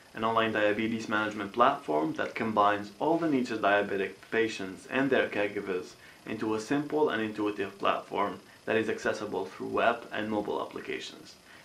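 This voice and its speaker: With audible room echo, a man speaks at a fairly low pitch with ordinary pitch variation. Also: fairly quick pace. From Algeria, Boumerdès. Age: 20s. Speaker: entrepreneur. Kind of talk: interview. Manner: hesitant, many fillers.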